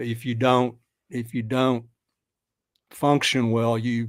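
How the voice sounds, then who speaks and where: Flat and monotone, a man speaks at a medium pitch. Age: 70s. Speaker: guest discussing his health and supplements. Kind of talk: casual chat. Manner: halting.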